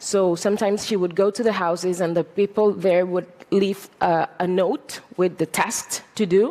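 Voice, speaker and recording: A woman with a medium pitch and ordinary pitch variation speaks at a moderate pace over noticeable background noise. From Catalonia, Spain. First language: Catalan. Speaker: journalist. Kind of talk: talk to an audience. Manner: halting, many fillers.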